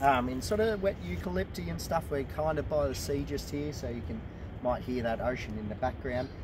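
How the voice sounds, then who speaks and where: The recording has a dry sound with no echo but noticeable background noise. A man talks at a fairly quick pace. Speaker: presenter. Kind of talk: casual educational walk-and-talk. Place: forest. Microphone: camera far.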